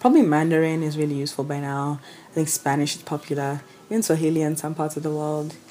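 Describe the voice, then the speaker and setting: Amid noticeable background noise, a woman with a Kenyan accent speaks at a fairly low pitch. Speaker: travel vlogger. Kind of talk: casual vlog talk. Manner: conversational, informal.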